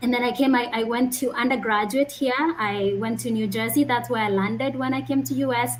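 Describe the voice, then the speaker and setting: Over noticeable background noise, a woman speaks at a high pitch and moderate pace with ordinary pitch variation. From Kenya (Kisii, Nyamira). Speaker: medical doctor. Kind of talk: interview.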